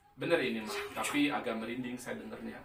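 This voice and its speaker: The talking moves at a fairly quick pace. Audible room echo and noticeable background noise come through. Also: man. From West Java, Sundanese. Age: 40s. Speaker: pharmaceutical sales supervisor doing amateur stand-up. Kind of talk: stand-up.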